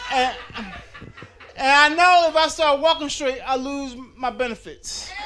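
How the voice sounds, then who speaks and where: Over noticeable background noise, a man speaks at a fairly slow pace in a raised, projected voice. His pitch is extremely high, with ordinary pitch variation. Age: 50s. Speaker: stand-up comedian. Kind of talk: stand-up. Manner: stammering repetitions.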